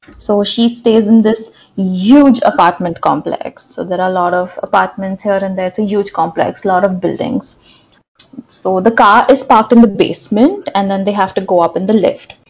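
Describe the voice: A woman at medium pitch with a slightly mellow tone, ordinary pitch variation and a moderate pace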